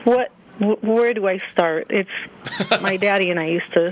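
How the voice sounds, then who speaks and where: A woman speaks at a fairly slow pace with fairly even intonation. Noticeable background noise is present. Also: medium pitch for a woman. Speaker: radio show caller. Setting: phone.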